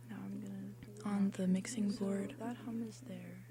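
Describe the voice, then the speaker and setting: A soft-spoken voice is heard over noticeable background noise. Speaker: radio host. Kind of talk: solo on-air monologue. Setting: radio studio.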